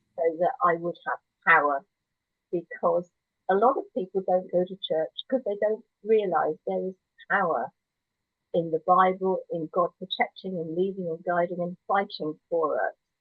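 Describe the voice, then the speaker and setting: In a plain, everyday voice, the woman speaks at a moderate pace. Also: medium pitch for a woman, ordinary pitch variation. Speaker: church member sharing her life story. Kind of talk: testimony.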